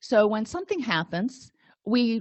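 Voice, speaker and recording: A woman's fairly high voice, dry and close with no echo, against a quiet background. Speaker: counselor educator. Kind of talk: lecture. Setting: webinar. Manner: loud; animated.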